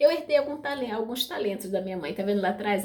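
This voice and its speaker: A woman speaks at a fairly quick pace with lively intonation and a somewhat breathy voice. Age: 60s. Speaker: video blogger sharing spiritual experiences. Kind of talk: personal testimony to camera. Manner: casual, chatty.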